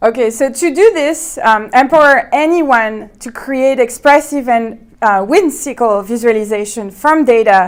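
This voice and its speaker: A woman with a French accent talks fairly slowly, with hardly any pauses. Her high voice has lively intonation. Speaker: researcher presenting. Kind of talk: conference talk.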